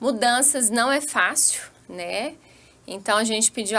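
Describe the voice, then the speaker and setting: A woman speaks in a strong Minas Gerais accent at a fairly slow pace. Her voice is high-pitched, with a bright, sharp tone. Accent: strong Minas Gerais accent, still kept. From Brazil, Minas Gerais (Vale do Jequitinhonha / Vale do Aço). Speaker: physician. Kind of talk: podcast interview.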